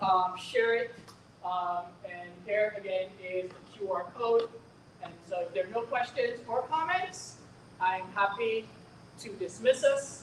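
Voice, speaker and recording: The speech moves at a fairly slow pace with ordinary pitch variation. Noticeable background noise sits behind it. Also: woman. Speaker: school district administrator. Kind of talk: community information meeting. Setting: in-person meeting, also streamed online.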